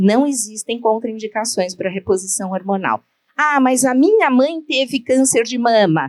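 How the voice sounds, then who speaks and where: A woman's unremarkable speaking voice, fairly high in pitch, with lively intonation and a fairly slow pace. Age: 60s. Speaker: gynecologist. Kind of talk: lecture.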